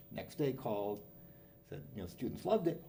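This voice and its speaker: The voice has a dark, mellow tone with vocal fry and very wide pitch swings, heard with audible room echo. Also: man. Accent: Canadian. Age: 70s. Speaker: business professor. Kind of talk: interview.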